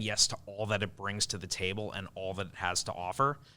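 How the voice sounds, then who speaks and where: A man with a Long Island accent, bright and sharp in tone, at a fairly quick pace. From Long Island, New York. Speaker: event organizer. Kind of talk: podcast interview.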